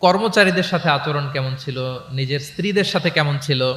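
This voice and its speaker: A man with a plain, everyday voice speaks at a fairly high pitch. His intonation is lively. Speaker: Islamic preacher. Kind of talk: religious lecture to a live audience.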